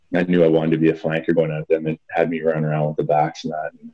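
Very fast speech from a man with a Canadian accent and a very deep, low pitch. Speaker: former rugby sevens player. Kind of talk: casual interview.

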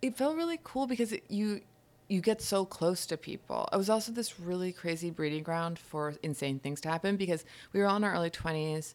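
Spoken at a fairly quick pace with a New York accent, the voice shows ordinary pitch variation on a very clean recording with a silent background. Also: woman, medium pitch for a woman. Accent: American, New York area. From upstate New York, Hudson Valley. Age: 30s. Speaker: writer. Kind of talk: casual chat. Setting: home kitchen.

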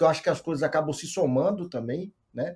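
A man's fairly high voice at a moderate pace. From Brazil, Minas Gerais (Montes Claros). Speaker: control and automation engineer in tech. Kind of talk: podcast interview. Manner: halting, many repetitions.

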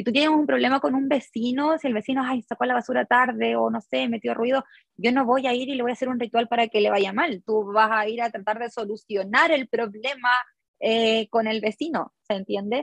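An ordinary speaking voice from a woman, fairly high in pitch with ordinary pitch variation, in a dry, close sound with no echo. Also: fairly quick pace. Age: 30s. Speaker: designer and small business owner. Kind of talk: interview.

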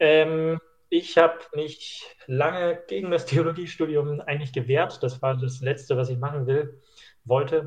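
Somewhat breathy and fairly high-pitched, a man speaks at a fairly slow pace with fairly even intonation. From Schleswig-Holstein, northern Germany. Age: 20s. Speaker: trainee pastor. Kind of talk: casual chat.

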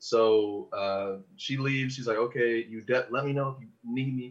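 A somewhat breathy man's voice at medium pitch, with a Californian accent. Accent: General American, California. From Los Angeles. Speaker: podcast producer. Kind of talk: casual chat.

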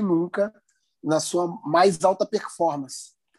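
A man with an animated tone. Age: 40s. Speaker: podcast co-host, musician. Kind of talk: casual interview chat.

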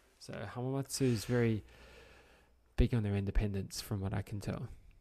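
A fairly low, dark, mellow male voice with an Australian accent, fairly quick and fairly even in intonation, on a very clean recording with a silent background. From Australia, Brisbane. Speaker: podcast host. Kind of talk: casual chat.

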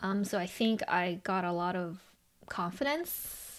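A woman speaks at a medium pitch with a Chinese accent and ordinary pitch variation. The recording is very clean, with a silent background. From Los Angeles, US. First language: Mandarin Chinese. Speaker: podcast host and business owner. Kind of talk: casual chat. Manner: halting, with many filler words.

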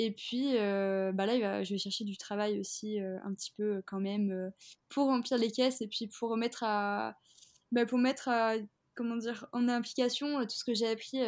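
A woman's plain, everyday voice, fairly high in pitch, at a moderate pace with fairly even intonation, in a very clean recording with a silent background. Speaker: fashion entrepreneur. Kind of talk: interview.

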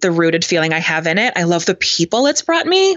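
Here is an ordinary speaking voice from a woman with a fairly low pitch. She talks at a fairly quick pace. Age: 30s. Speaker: personal trainer. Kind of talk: interview.

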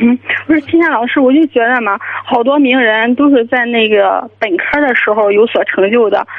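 Loudness stays very even and pitch varies in an ordinary way at a moderate pace, with noticeable background noise behind it. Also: woman, high pitch for a woman. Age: 20s. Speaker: caller, university student. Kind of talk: phone-in advice call.

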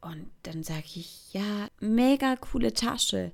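A woman is speaking. Her pitch swings very widely. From Switzerland, Thurgau. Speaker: podcaster. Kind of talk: casual monologue. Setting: bedroom.

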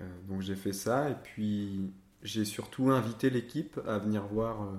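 A man talks fairly slowly in a fairly low pitch. His intonation stays fairly even. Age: 20s. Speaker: theatre director. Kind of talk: interview. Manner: halting.

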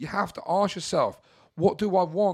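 A man speaks at a fairly quick pace. The recording is very clean with a silent background. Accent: southern English. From Brighton, England. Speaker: mindset coach. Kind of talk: personal monologue.

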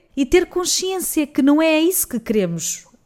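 This woman speaks with a European Portuguese accent. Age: 30s. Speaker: podcast host, journalist. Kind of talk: interview.

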